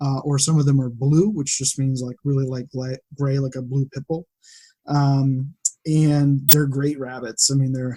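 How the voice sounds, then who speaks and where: A man with an American accent speaks at a fairly slow pace in a fairly high voice, somewhat breathy, with a dark, mellow tone. His intonation is flat and monotone, and the sound is dry and close with no echo. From western Massachusetts. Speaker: data analyst and farmer. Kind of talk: casual interview chat.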